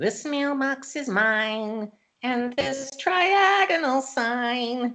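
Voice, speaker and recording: A put-on character voice, fairly high and nasal, delivered at a very slow pace. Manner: smug, possessive.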